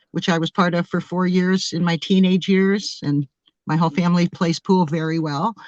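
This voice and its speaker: Against a quiet background, a plain, everyday voice with an American accent keeps a fairly even intonation. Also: woman. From US Midwest, Springfield, Ohio. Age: 60s. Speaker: experiencer sharing encounter story. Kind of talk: interview.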